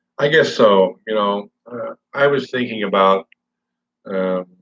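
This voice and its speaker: This is a man speaking. His pitch sits fairly low. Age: 60s. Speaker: vlogger. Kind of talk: casual livestream chat. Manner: halting.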